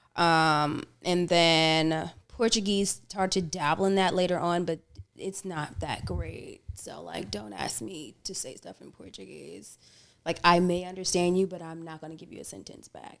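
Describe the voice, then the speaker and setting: In an American accent, a woman with a fairly low pitch speaks with ordinary pitch variation and big swings in loudness. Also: fairly slow pace. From US, bilingual French-English home. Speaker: singer-songwriter. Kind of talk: casual interview chat. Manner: animated.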